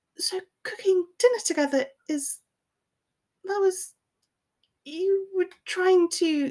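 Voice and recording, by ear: In a put-on character voice that sounds strained, the speaker goes at a fairly slow pace with long, frequent pauses. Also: woman, extremely high pitch for a woman.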